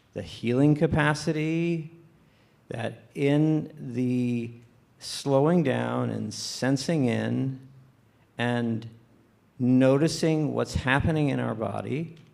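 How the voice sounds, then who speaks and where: With audible room echo, a man speaks very slowly at a medium pitch, using ordinary pitch variation and long, frequent pauses. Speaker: panelist, therapist. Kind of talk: panel discussion. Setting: stage with audience.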